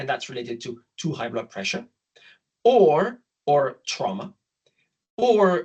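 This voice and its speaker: Speaking with a French accent, a man goes at a fairly slow pace. His voice is somewhat breathy, with very wide pitch swings. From France. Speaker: obstetrician. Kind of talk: lecture.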